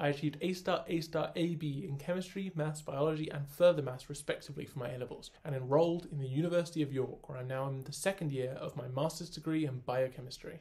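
With a southern English accent, a man speaks at a very fast pace, barely pausing. His pitch is fairly high and his intonation fairly even. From southern England (Oxford). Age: 20s. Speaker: university student. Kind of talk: scripted application video. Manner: formal. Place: home room. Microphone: phone near.

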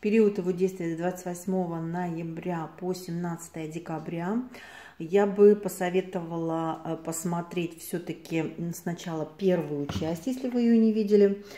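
A woman's fairly low, dark and mellow voice at a fairly slow pace, fairly even in intonation, with audible room echo. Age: 50s. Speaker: cosmetics consultant. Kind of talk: product review to camera. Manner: casual, chatty. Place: home room. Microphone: phone near.

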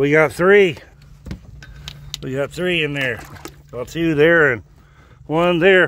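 Speaking at a slow pace, a man uses fairly high pitch, a fairly bright tone and ordinary pitch variation.

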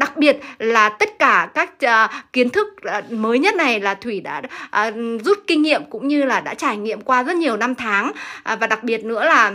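A woman's high-pitched voice, bright and sharp in tone, at a moderate pace over a quiet background. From Vietnam. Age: 40s. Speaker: sewing and fashion design teacher; fashion design teacher. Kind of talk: livestream talk to viewers. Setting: classroom studio. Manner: frequent fillers and laughter. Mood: earnest, motivational. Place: workshop.

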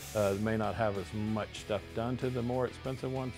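Clear music plays in the background while a man with a fairly low pitch talks at a moderate pace with ordinary pitch variation. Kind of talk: interview answer. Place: shop.

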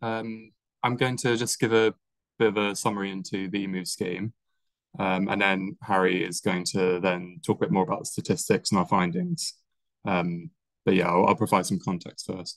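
A normal speaking voice from a man, fairly low in pitch, with ordinary pitch variation and a moderate pace, in a dry sound with no echo and a quiet background. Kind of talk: presentation. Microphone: video call.

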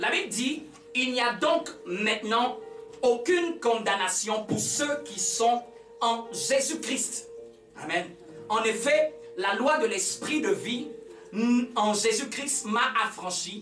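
Speech comes at a very slow pace broken by long, frequent pauses, with audible room echo and faint music in the background. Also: man. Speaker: pastor. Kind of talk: sermon. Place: church. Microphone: camera far.

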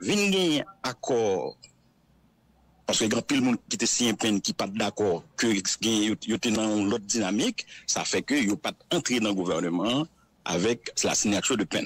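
A plain, everyday voice: a man at medium pitch with lively intonation, a moderate pace, very even loudness, and a dry, close sound with no echo. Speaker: civil society representative. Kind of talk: interview.

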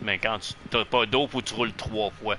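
With music in the background, a man with a Quebec accent talks at a fairly quick pace. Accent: Québécois French. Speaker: gaming streamer. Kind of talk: casual gameplay chat.

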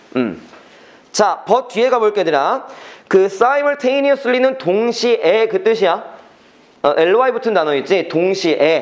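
A man's high-pitched voice with lively intonation, a moderate pace and very even loudness. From South Korea. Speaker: academy English teacher; high school English teacher. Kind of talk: lecture. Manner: casual, conversational. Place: classroom.

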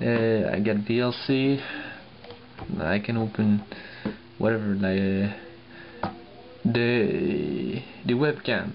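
A man speaks very slowly with a non-native accent, leaving long, frequent pauses. His intonation is lively and his loudness stays very even over light background noise. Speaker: laptop owner reviewing. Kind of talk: casual tech review talk. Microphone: phone near.

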